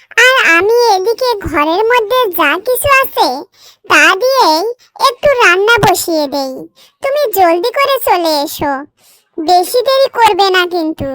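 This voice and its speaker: A woman speaks in a cartoonish character voice at an extremely high pitch, at a fairly slow pace. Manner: warm, reassuring.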